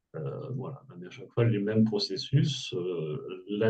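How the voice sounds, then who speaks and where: This man's voice sits fairly low and sounds somewhat breathy, with a dark, mellow tone. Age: 60s. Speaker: former entrepreneur, burnout coach. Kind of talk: testimony. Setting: webinar video call.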